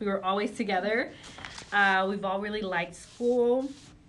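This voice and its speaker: The speaker has a Spanish accent. Noticeable background noise can be heard. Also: woman. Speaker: high school guidance counselor. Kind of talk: interview.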